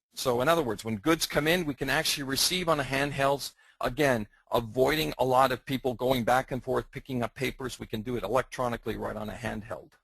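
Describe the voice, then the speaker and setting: A man talks at a very fast pace in a strong Canadian accent, with a medium pitch and ordinary pitch variation. His voice carries vocal fry over a quiet background. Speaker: software product presenter. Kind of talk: webinar presentation. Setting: online webinar.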